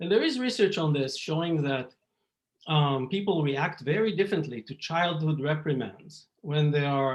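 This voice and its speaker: With an Israeli accent, a man talks at a fairly high pitch with lively intonation. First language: Hebrew. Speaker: psychology professor. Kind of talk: lecture. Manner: halting, many fillers.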